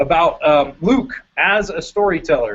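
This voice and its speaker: Man's voice in an American accent. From US Midwest, Chicago. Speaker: youth ministry curriculum presenter. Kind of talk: webinar presentation. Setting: online webinar via video call. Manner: fast.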